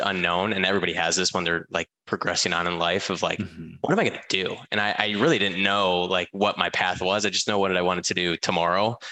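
A man with an American accent, a bright, sharp tone and a fairly quick pace, against a quiet background. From Michigan, US. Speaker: mortgage company department head. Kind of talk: casual interview chat.

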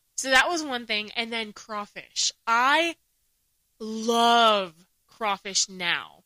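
A woman with an American accent speaks at a very slow pace with long, frequent pauses, her fairly high voice bright and sharp in tone with ordinary pitch variation, captured in a very clean recording with a silent background and a dry, close sound with no echo. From US, Palestinian-Mexican family; early years in Saudi Arabia and Jordan. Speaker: podcast co-host. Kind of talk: casual chat.

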